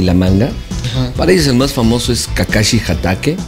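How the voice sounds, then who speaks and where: Clear music plays in the background as a man with a fairly low voice speaks at a moderate pace. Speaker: voice actor. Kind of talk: interview answer. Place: home room.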